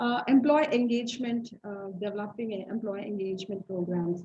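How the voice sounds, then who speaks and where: A woman speaks at a medium pitch and a fairly quick pace. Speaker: HR professional and psychology lecturer. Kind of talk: lecture.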